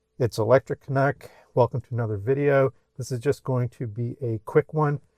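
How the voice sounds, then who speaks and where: A man speaks at a medium pitch and moderate pace in a dark, mellow tone. The sound is dry and close with no echo. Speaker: car YouTuber. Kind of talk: casual vlog walkthrough. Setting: in a car. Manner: trembling, excited.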